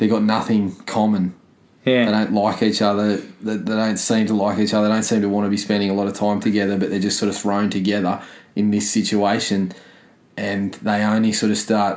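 A man with an Australian accent talks at a fairly quick pace. His voice is fairly low and his intonation monotone and flat. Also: very even loudness. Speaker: movie podcast co-host. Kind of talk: casual chat.

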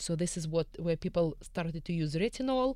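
The voice has a dark, mellow tone and a Russian accent. It moves at a fairly quick pace. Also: woman. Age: 40s. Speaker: esthetician. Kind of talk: radio panel discussion. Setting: studio. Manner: blunt, outspoken.

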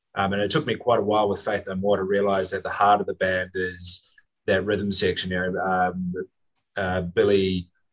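Here is a man with a New Zealand accent and a very deep, low voice. He speaks at a moderate pace. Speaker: wine guide and music enthusiast. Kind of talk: casual chat.

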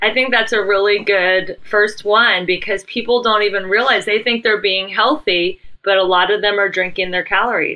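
In a normal speaking voice, a woman speaks at a medium pitch and moderate pace, with fairly even intonation and hardly any pauses. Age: 50s. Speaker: podcast host, success mentor. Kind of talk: casual interview.

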